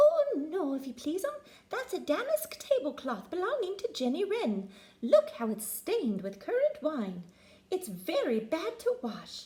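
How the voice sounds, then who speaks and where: At a moderate pace, a woman talks. She performs a put-on character voice pitched extremely high. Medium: read story. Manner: humble, deferential.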